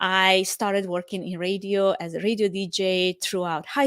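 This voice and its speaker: A woman speaks at a medium pitch with a Romanian accent. The recording is very clean with a silent background and a dry, close sound with no echo. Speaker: podcast host, event production professional. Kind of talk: podcast monologue.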